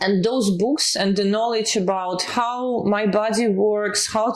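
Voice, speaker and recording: Over noticeable background noise, a woman talks at a fairly slow pace. Her pitch is fairly high and her intonation fairly even. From Eastern Europe. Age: 30s. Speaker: health tech executive. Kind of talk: interview. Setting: office.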